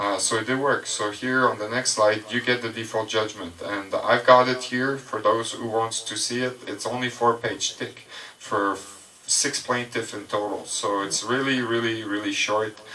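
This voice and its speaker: Against noticeable background noise, a man talks at a moderate pace with a medium pitch and fairly even intonation. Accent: French. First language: French. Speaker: presenter. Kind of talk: presentation to audience.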